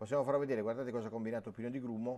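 Here a man talks with fairly even intonation. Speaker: sports TV and radio host. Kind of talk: live sports phone-in show. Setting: studio. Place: studio. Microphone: lapel.

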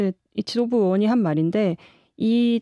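A woman's dark, mellow voice with lively intonation at a moderate pace, dry with no echo, over a quiet background. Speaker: political journalist. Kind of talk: panel discussion. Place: studio. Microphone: studio mic.

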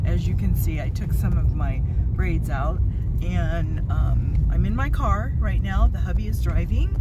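Over loud background noise, a woman speaks at a fairly slow pace, the sound dry with no echo. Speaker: beauty vlogger. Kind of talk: casual talk to camera. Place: car. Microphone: phone near.

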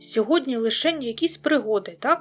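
A woman uses a put-on character voice. She growls as she speaks. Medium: read story.

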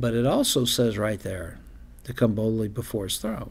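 A man is speaking. He talks at a fairly quick pace. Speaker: pastor hosting a live prayer program. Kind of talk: sermon. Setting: studio. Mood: earnest, devotional. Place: studio. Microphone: studio mic.

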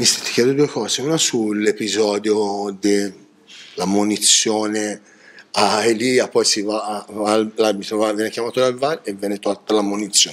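Fairly even intonation marks this fairly slow delivery. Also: man, fairly low pitch for a man. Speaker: sports journalist. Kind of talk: post-match press interview. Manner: hesitant, many fillers.

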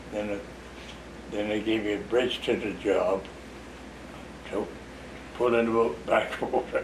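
A man with an American accent talks in a monotone, flat intonation at a fairly slow pace with long, frequent pauses over noticeable background noise. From US South, Florida Panhandle (West Bay); Florida. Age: 80s+. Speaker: retired road builder and local elder; interviewee. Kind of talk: oral history interview. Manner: halting. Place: home room.

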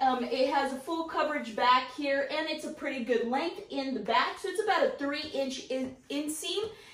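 Audible room echo surrounds this recording. A woman speaks in a high pitch at a fairly slow pace. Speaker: fashion vlogger. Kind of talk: casual haul review. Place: home room. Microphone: camera far.

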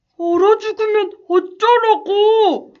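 In a put-on character voice, someone squeaks at an extremely high pitch and a very slow pace. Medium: audio drama. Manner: caring.

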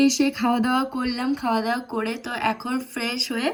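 A woman speaks at a high pitch. Noticeable background noise runs underneath. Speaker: vlogger. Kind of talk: vlog narration. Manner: conversational, chatty.

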